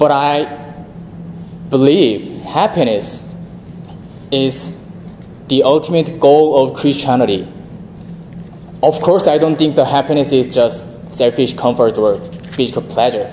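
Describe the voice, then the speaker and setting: A man with a Korean accent and a fairly high pitch, at a fairly slow pace with ordinary pitch variation and long, frequent pauses, amid audible room echo and noticeable background noise. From South Korea. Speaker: seminarian preacher. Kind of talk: sermon.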